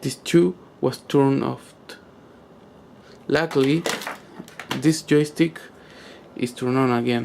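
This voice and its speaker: A medium-pitched male voice with a non-native accent. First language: not English. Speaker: gamer asking for tech help. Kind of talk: tutorial-style demonstration video. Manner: halting, many fillers.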